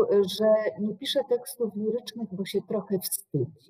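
Over a quiet background, a woman speaks in a somewhat breathy voice with a dark, mellow tone. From Poland, Łódź; Poland. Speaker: university professor. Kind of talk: lecture. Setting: online video call. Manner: formal. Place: office. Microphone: webcam.

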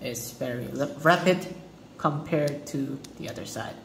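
A man with a fairly high voice speaks at a fairly slow pace, with audible room echo and light background noise. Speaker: student. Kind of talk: class presentation. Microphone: phone near.

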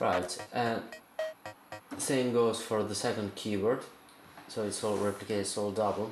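A man's fairly low-pitched voice at a fairly slow pace and with fairly even intonation, amid light background noise and audible room echo. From Italy. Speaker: circuit bender, instrument builder. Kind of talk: tutorial explanation to camera. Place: home room. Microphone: phone near.

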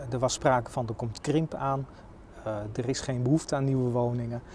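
The sound is dry with no echo, under light background noise. A man speaks with fairly even intonation. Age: 40s. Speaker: local politician. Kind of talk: interview. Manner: hesitant, many filler sounds. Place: street. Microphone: lapel.

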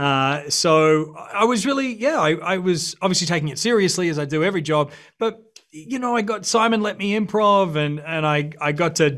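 With an Australian accent, the speaker uses lively intonation at a moderate pace over a quiet background. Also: man, high pitch for a man. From Brisbane, Australia. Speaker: actor. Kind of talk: interview answer. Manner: casual, relaxed. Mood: relaxed, reflective. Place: studio. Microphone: video call.

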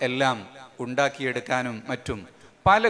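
Light background noise sits behind a man's speech. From Kerala, India. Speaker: Islamic scholar and event organizer; speaker. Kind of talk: speech to a religious gathering. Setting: large marquee gathering. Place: stage. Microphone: podium.

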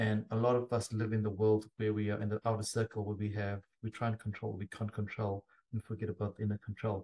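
Somewhat breathy and dark, mellow in tone, a man with a fairly low pitch talks at a very fast pace in a monotone, flat delivery. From South Africa. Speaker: podcast host. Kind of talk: casual interview chat. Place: home room.

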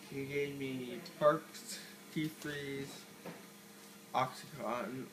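There is noticeable background noise as a man speaks at a very slow pace with fairly even intonation. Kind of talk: casual vlog chat. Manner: groggy, numb-mouthed post-surgery speech. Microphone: phone near.

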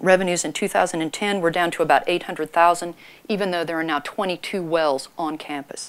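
This croaky voice moves at a fairly quick pace with ordinary pitch variation. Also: woman.

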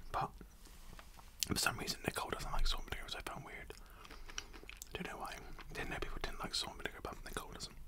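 The man talks at a very fast pace. Loud background noise runs underneath. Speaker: food vlogger. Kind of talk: casual vlog chat. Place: home room. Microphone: studio mic.

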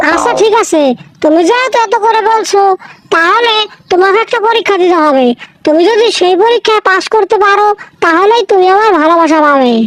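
A cartoonish character voice, female-sounding and extremely high in pitch, at a moderate pace. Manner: scolding, bossy.

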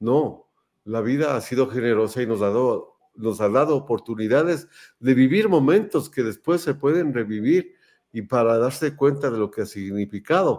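With lively intonation and a normal speaking voice, a man at medium pitch speaks at a moderate pace. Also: very clean recording, silent background. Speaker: show host, sports photographer. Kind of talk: casual interview chat.

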